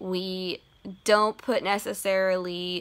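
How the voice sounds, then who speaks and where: In a bright, sharp tone, a woman speaks with monotone, flat intonation. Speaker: book vlogger. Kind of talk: casual vlog chat. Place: home room. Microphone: phone near.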